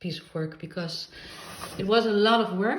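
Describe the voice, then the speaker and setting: A somewhat breathy voice with a non-native accent and lively intonation. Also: woman. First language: not English. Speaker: crafter. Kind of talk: casual talk to camera.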